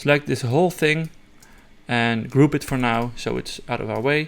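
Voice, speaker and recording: A man talks at a fairly slow pace. His voice sits at medium pitch with ordinary variation. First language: not English. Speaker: software tutorial creator. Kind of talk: tutorial. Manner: halting, many fillers and restarts; casual.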